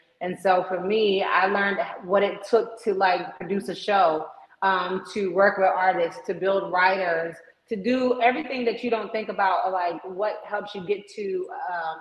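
A woman talks at a fairly slow pace with fairly even intonation. Audible room echo surrounds her voice. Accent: American. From US East Coast, Maryland. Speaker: entertainment booking agent; interview guest. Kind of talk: interview. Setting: video call. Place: home room. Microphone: video call.

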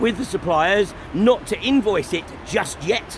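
A man speaks in a high voice at a fairly slow pace. The sound is dry with no echo, though noticeable background noise is present. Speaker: activist livestreamer. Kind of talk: commentary. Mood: critical, indignant. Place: waterside. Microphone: phone near.

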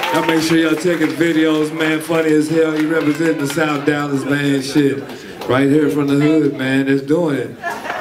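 Amid noticeable background noise, someone talks at a moderate pace in a monotone, flat intonation with hardly any pauses. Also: man, fairly high pitch for a man. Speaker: comedy show emcee. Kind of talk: hype-man stage introduction. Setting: stage with live audience. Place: bar.

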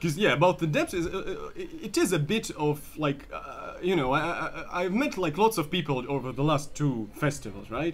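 With a Russian accent, a man talks with hardly any pauses. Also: moderate pace. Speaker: comedian. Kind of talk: casual chat. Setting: anti cafe.

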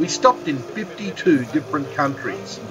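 Over noticeable background noise, a man talks with very wide pitch swings. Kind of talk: travel narration.

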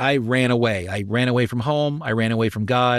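A man at medium pitch speaks at a moderate pace, his pitch varying in an ordinary way. The background is quiet and the sound is dry, with no echo. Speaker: voice actor, pastor, musician. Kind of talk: interview answer. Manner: casual, hesitant, many fillers. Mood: reflective, candid. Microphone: studio mic.

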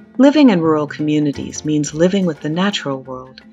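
The speech has ordinary pitch variation at a fairly quick pace. Music can be heard behind it. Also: woman. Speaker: farm community worker in Africa. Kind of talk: narration and interview questions.

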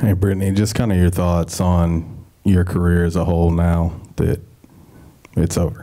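With a very deep, low pitch, a man speaks at a moderate pace with fairly even intonation against a quiet background. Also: very even loudness. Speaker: sports reporter. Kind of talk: press conference questions. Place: meeting room.

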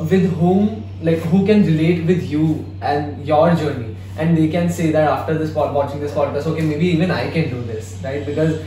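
With audible room echo and light background noise, a man speaks at a moderate pace using ordinary pitch variation. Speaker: podcast host. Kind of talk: interview conversation. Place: studio.

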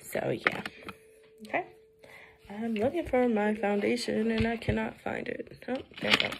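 A woman with an American accent speaks at a moderate pace, leaving long, frequent pauses over noticeable background noise. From Brooklyn, New York; New York. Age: 20s. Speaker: vlogger. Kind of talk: casual vlog chat. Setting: at home doing makeup. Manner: casual, hesitant with fillers. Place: home room. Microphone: phone near.

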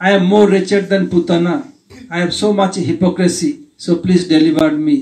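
Here a man talks with an Indian accent. His pitch is high and his pace moderate. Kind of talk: spiritual Q&A talk. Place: home room. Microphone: handheld.

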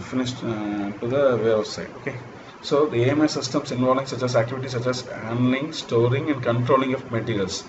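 Against noticeable background noise, a man talks at a fairly quick pace with fairly even intonation. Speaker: lecturer. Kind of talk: lecture. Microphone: webcam.

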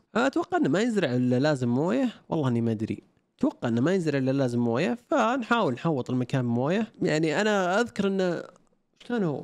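Against a quiet background, the voice moves at a fairly quick pace with very wide pitch swings and very even loudness. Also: man, fairly high pitch for a man. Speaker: gaming YouTuber. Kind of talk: gameplay commentary. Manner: low energy. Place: home room.

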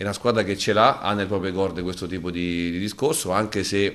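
A man speaks at a fairly quick pace in a very deep, low voice with monotone, flat intonation. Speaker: football coach. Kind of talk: press conference. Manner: halting, repeats words. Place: meeting room. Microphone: podium.

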